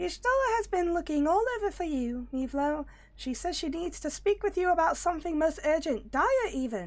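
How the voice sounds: A woman uses a put-on character voice at an extremely high pitch. She talks at a moderate pace over light background noise.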